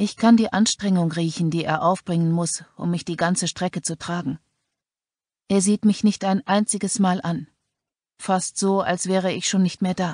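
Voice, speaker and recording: The woman's medium-pitched voice is somewhat breathy, with fairly even intonation. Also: dry, close sound with no echo. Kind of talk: dramatic audiobook narration. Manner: slow, hushed, tense; grim, suspenseful, first-person.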